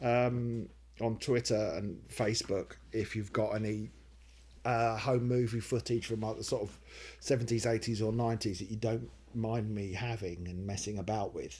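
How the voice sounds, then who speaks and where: A normal speaking voice from a man, medium in pitch, at a moderate pace. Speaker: comedy writer and video maker. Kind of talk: casual Q&A talk to camera.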